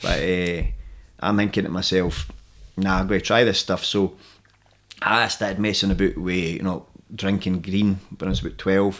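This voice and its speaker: A man with a Central Belt Scottish accent, very deep and low in pitch, monotone and flat, at a moderate pace broken by long, frequent pauses. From Scotland, Alloa (Clackmannanshire). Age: 30s. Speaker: MMA fighter and jiu-jitsu coach. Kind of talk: casual interview chat.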